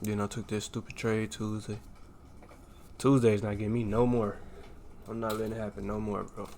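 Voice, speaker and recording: A fairly low-pitched man's animated, fairly quick delivery, broken by long, frequent pauses. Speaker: day trader streaming live. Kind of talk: live trading commentary. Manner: loud; casual, animated.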